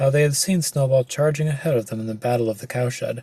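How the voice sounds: The voice pitch shifts in an ordinary way. It is a natural reading voice.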